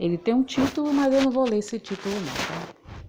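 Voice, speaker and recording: Noticeable background noise surrounds a soft-spoken woman as she talks. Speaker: lay preacher. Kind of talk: sermon.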